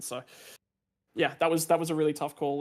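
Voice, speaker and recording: A man with an Australian accent, fairly high in pitch, monotone and flat, at a very fast pace on a very clean recording with a silent background. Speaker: sim racing driver. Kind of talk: post-race interview. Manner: hesitant, many fillers and repeats.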